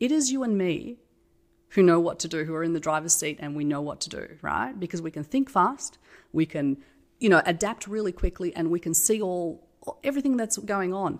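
Very wide pitch swings at a moderate pace, in an Australian accent. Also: woman. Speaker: tech company CEO. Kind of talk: casual interview.

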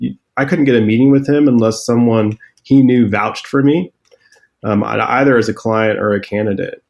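Speaking at a moderate pace and medium pitch with ordinary pitch variation, the man has an unremarkable speaking voice. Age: 40s. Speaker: startup founder and CEO. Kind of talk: interview.

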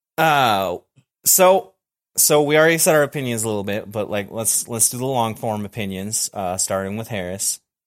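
This is a normal speaking voice at a moderate pace. The intonation is lively. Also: man, medium pitch for a man. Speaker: podcast host. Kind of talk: casual chat. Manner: laughs a lot.

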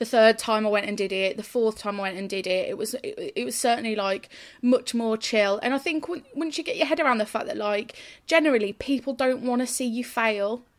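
A woman at a fairly quick pace, ordinary pitch variation, an unremarkable speaking voice. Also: fairly high pitch for a woman. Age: 30s. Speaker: journalist and ring announcer. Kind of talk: casual interview chat.

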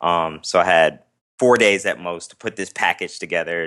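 Against a quiet background, a man speaks with a very deep, low pitch and a bright, sharp tone. He has an American accent and ordinary pitch variation. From Las Vegas, Nevada. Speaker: actor and activist. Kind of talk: casual interview chat. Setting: video call.

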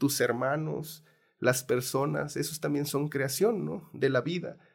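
Over a silent background on a very clean recording, a man talks with fairly even intonation. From Mexico. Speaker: film producer and documentary director. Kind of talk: interview. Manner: halting.

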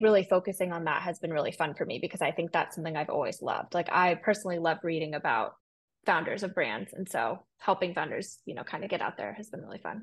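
A woman in an American accent speaks at a very fast pace and medium pitch. Her pitch variation is ordinary, and the background is quiet. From US West Coast, San Francisco. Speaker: PR firm founder. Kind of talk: casual interview.

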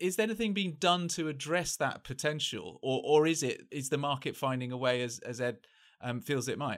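An ordinary speaking voice from a man, fairly high in pitch, with lively intonation and a fairly quick pace, in a very clean recording with a silent background. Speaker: journalist and podcast host. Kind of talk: interview hosting.

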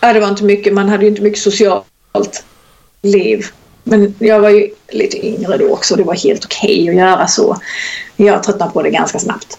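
Her intonation monotone and flat, a woman at a medium pitch keeps a moderate pace. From southern Sweden (Skåne, Kristianstad). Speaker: personal trainer. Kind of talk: casual interview chat. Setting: Skype call.

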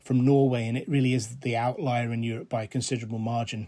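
A man talks with a Scottish accent and a dark, mellow tone. His intonation is fairly even on a very clean recording with a silent background. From Scotland, rural Renfrewshire. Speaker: conservation charity director. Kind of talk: interview. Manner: halting.

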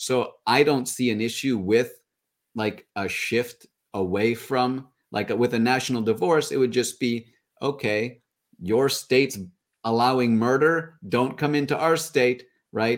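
A man talks with a plain, everyday voice at a medium pitch and ordinary pitch variation. The recording is very clean, with a silent background. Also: fairly slow pace. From Canada. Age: 30s. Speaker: podcaster. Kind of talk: casual chat.

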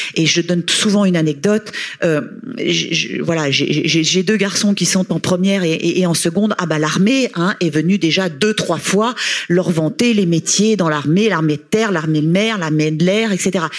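Here a woman talks at a fairly slow pace, fairly low in pitch with ordinary variation. Her loudness stays very even, and there is noticeable background noise. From Haute-Savoie, France. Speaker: sports association president, former tennis player. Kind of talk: panel discussion. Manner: halting, repeats words.

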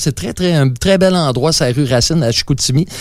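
A man's fairly high-pitched voice in a Quebec accent, fairly quick, with ordinary pitch variation and noticeable background noise. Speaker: musician. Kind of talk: interview.

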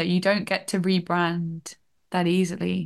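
A woman's medium-pitched voice over a quiet background. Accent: slight northern English. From northern England. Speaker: TV development researcher.

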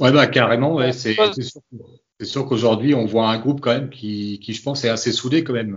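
Speaking in a plain, everyday voice, this man keeps a medium pitch, a moderate pace and ordinary pitch variation. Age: 30s. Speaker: football fan. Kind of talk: casual chat.

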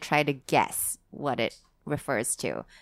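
Very clean recording of a woman against a silent background. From Singapore. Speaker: sex coach. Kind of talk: casual chat.

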